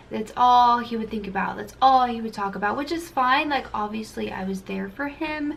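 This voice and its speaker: There is noticeable background noise and audible room echo as a woman speaks with ordinary pitch variation. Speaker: family vlogger. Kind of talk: casual chat. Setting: at home with her toddler. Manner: halting.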